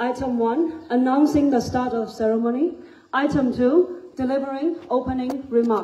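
Over light background noise and audible room echo, a woman talks at a high pitch. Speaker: master of ceremonies. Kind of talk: ceremony announcements. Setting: stage with audience. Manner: formal. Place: hall. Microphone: pa.

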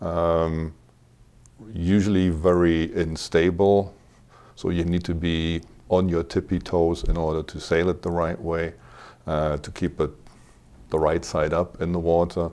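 With a very deep, low pitch and a dark, mellow tone, a man talks in a monotone, flat way at a fairly slow pace, with long, frequent pauses. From Germany, Cologne; Germany. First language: German. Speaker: hobby sailor; interview guest. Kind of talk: casual interview. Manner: halting, many repetitions. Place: studio. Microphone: lapel.

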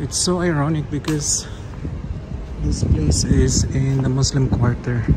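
A man speaks very slowly as loud noise fills the background. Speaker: travel vlogger. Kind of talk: casual vlog chat. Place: street. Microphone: phone near.

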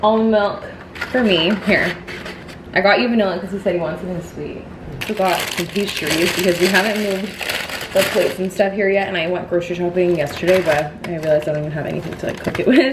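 A woman talking very fast with ordinary pitch variation, over noticeable background noise. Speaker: lifestyle vlogger. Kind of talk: casual vlog chat. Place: home room. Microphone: phone near.

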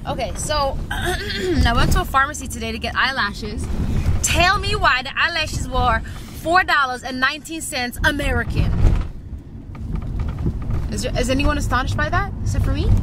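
A woman speaks with long, frequent pauses. Loud background noise surrounds the dry sound, which has no echo. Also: moderate pace. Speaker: vlogger. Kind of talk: casual vlog chat. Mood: playful, amused complaining. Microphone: phone near.

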